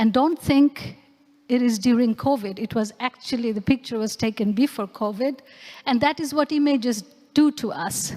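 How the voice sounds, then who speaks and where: Speaking at a moderate pace with a Bengali accent, a woman has a high pitch, ordinary pitch variation and a dark, mellow tone, recorded with a dry, close sound and no echo. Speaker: anthropologist and researcher. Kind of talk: lecture performance.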